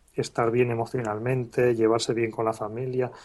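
Monotone, flat intonation marks a man's medium-pitched speech. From Spain, Calpe (Alicante). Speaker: blogger and author. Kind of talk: interview.

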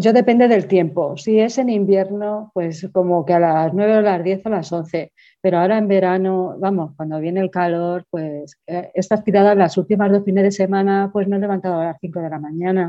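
This is an ordinary speaking voice. A woman at a medium pitch keeps a moderate pace with hardly any pauses. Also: fairly even intonation. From Toledo, Spain. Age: 40s. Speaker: amateur runner. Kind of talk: casual interview chat.

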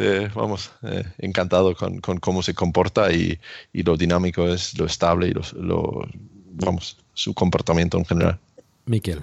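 A very deep, low male voice with a non-native accent, fairly even intonation and a moderate pace. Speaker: YouTuber, electric car owner. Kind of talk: casual chat.

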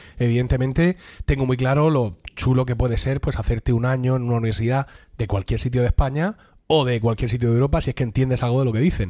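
A man talks at a very fast pace in a medium pitch. His tone is dark and mellow, with ordinary pitch variation. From Murcia, Spain. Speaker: podcast host. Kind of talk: casual chat among friends, humorous.

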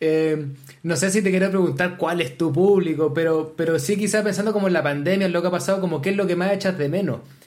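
With audible room echo, a man speaks at a very fast pace in a high pitch, his loudness very even throughout. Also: ordinary pitch variation. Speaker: podcast co-host, storyteller. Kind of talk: casual chat.

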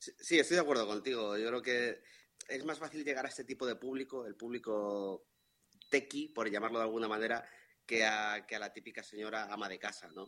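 A man at medium pitch, with a bright, sharp tone and ordinary pitch variation, moves at a fairly quick pace while his loudness swings widely. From Madrid, Spain. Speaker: listener. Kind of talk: casual chat. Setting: video call.

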